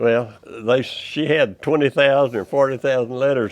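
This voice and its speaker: With a Texan accent and fairly even intonation, a man speaks over noticeable background noise. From Texas, Goldthwaite. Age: 90s. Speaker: dentist. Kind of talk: interview.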